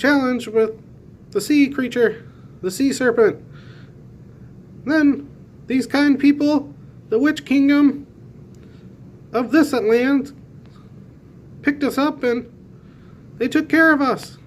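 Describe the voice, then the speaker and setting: This put-on character voice is high-pitched and moves at a fairly slow pace. Long pauses come often. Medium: read story. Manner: chipper.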